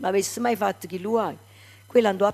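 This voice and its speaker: On a very clean recording with a silent background, a woman speaks at a very fast pace with vocal fry. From Naples, Italy. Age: 70s. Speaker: singer. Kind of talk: interview.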